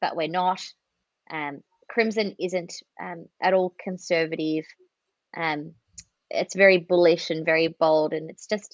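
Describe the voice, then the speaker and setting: A woman with an Australian accent speaks at a fairly low pitch and a fairly slow pace, with fairly even intonation. Her loudness swings widely, and she takes long, frequent pauses. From Australia, near Melbourne. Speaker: marketing and communications executive. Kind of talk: podcast interview.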